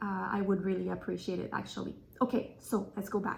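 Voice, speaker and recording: A woman talks in a French accent with a somewhat breathy voice. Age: 30s. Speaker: craft vlogger. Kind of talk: casual podcast chat. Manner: halting with fillers.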